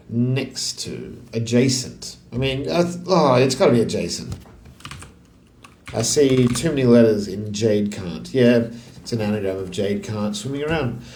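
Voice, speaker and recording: In an Australian accent, a man of medium pitch talks at a fairly slow pace with lively intonation, amid noticeable background noise and audible room echo. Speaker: crossword solver. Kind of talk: casual think-aloud puzzle solving. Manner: halting, thinking aloud.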